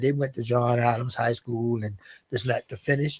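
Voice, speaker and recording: A somewhat breathy man with an American accent, at a moderate pace with ordinary pitch variation, in a dry, close sound with no echo. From US South, Aiken County, South Carolina. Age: 70s. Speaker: former basketball coach and manager. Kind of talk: interview. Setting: radio/streamed talk show.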